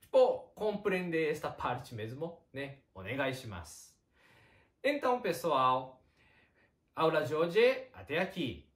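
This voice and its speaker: Speaking with a Japanese accent, a man with a fairly high pitch and vocal fry moves at a very slow pace, his pitch swinging very widely between long, frequent pauses. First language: Japanese (speaking Portuguese). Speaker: Japanese teacher. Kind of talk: online language lesson.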